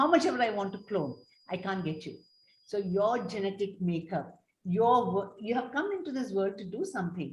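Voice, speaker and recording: A somewhat breathy woman at medium pitch speaks at a moderate pace with lively intonation. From India, Tamil family. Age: 70s. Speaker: developmental paediatrician. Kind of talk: panel discussion.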